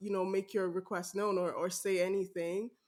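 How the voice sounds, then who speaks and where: A woman with a slight Nigerian accent and a medium pitch talks at a moderate pace in a very clean recording with a silent background. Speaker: podcast host. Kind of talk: casual interview chat.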